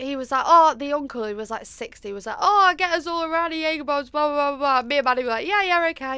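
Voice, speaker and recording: A woman speaks in a raised, projected voice with a bright, sharp tone, high pitch and lively intonation, on a very clean recording with a silent background. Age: 20s. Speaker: podcast co-host. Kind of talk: casual chat. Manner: loud.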